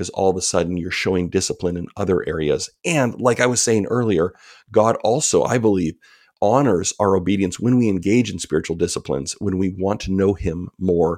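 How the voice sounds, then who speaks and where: In an American accent, a man speaks at a very deep, low pitch with ordinary pitch variation. His pace is fairly quick, and the recording is very clean with a silent background. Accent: Canadian with some US Southern drift. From Canada. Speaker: author. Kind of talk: interview.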